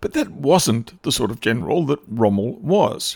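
Recorded very cleanly with a silent background and a dry, close sound with no echo, a man speaks at a fairly slow pace with very wide pitch swings. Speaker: radio host. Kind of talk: scripted history documentary narration, radio show. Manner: formal; measured, dramatic storytelling.

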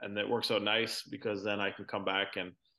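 With a Canadian accent, this voice has a bright, sharp tone over a quiet background. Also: man. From Canada, Ontario (Brantford). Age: 40s. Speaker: professional golfer. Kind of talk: casual interview.

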